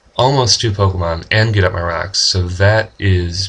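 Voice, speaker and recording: A somewhat breathy, fairly low male voice at a moderate pace, with fairly even intonation. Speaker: gaming commentator. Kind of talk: casual gameplay commentary.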